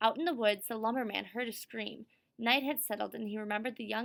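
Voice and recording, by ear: Natural-voiced reading aloud.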